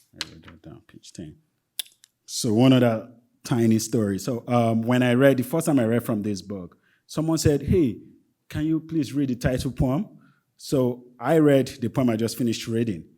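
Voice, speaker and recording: Speaking with a Nigerian accent, a man has a dark, mellow tone at medium pitch with ordinary pitch variation. His moderate pace is broken by long, frequent pauses, and his loudness swings widely. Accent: Nigerian (Yoruba) English. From Nigeria (Yoruba-speaking area). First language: Yoruba. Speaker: poet. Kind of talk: poetry reading with casual commentary. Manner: halting, many fillers.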